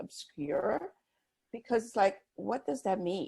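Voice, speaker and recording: A woman's dark, mellow voice at a fairly slow pace, with lively intonation. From Brazil. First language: Portuguese. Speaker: business consultant. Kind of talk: interview.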